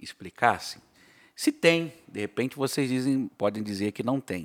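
Recorded very cleanly with a silent background and a dry, close sound with no echo, the voice moves at a fairly slow pace with very wide pitch swings. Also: man. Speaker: pastor and podcast host. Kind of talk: casual chat.

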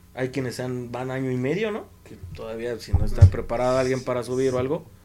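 A man with a medium-pitched voice speaks at a moderate speed while noticeable background noise sounds behind him. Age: 20s. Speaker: former youth scout coordinator. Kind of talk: casual chat.

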